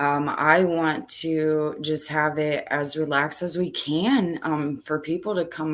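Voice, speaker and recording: A woman speaks in a very deep, low pitch at a very slow pace. The recording is very clean, with a silent background. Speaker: true crime channel host. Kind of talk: casual chat. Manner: loud.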